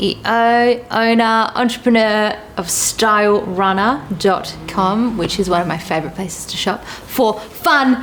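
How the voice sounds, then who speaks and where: Hardly pausing, a woman speaks at a fairly slow pace with a fairly high pitch and ordinary pitch variation. Background noise is noticeable. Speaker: interview host. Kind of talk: casual interview talk. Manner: upbeat.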